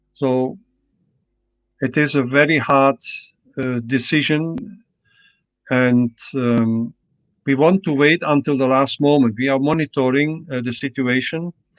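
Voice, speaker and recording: Against a quiet background, a man with a fairly high pitch speaks at a fairly slow pace with long, frequent pauses and fairly even intonation, the sound dry and close with no echo. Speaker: martial arts federation president. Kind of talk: interview Q&A. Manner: hesitant, many fillers.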